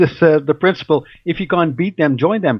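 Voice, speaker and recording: Talking at a fairly quick pace, a man with a Dutch accent uses a high pitch with ordinary pitch variation. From Netherlands. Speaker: researcher and radio host. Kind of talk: interview. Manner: hesitant, many fillers and repetitions.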